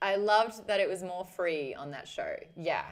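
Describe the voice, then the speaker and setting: With an Australian accent, a woman talks at a fairly slow pace, her pitch varying in an ordinary way. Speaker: streamer, former radio host. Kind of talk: casual live stream chat. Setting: live stream. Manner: animated.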